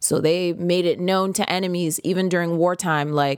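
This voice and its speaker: A woman with an American accent at a medium pitch, moderate pace, very clean recording and silent background. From US, Prince George's County, Maryland (DC area). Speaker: podcast host. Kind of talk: casual solo monologue.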